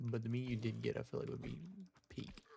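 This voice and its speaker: A man speaks at a very fast pace with a medium pitch. His voice is somewhat breathy. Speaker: live streamer, gamer. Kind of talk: casual gaming live stream commentary. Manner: quiet at times; casual, conversational.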